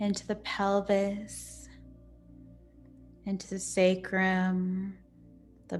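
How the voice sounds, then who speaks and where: Over music in the background, the voice moves at a very slow pace with monotone, flat intonation. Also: woman. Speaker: yoga nidra and meditation teacher. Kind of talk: guided yoga nidra meditation. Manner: slow, calm, soothing.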